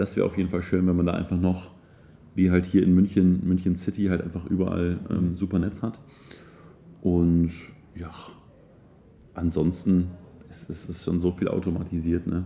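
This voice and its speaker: A man with a very deep, low pitch and a dark, mellow tone, speaking at a moderate pace in a monotone, flat delivery broken by long, frequent pauses. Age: 20s. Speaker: entrepreneur and motivational speaker. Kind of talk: interview. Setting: quiet corner at a seminar venue during lunch break.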